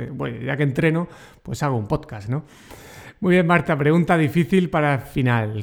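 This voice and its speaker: A man's fairly high voice with lively intonation. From Murcia, Spain. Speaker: podcast host, educator. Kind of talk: interview.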